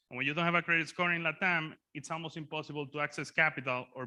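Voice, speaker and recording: A man talks at a very fast pace in a bright, sharp tone. The background is quiet. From Dominican Republic. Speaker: startup founder. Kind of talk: startup pitch.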